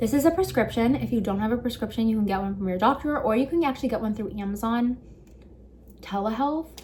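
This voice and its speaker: A woman talks very fast in a fairly high, somewhat breathy voice. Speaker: beauty vlogger. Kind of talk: casual tutorial.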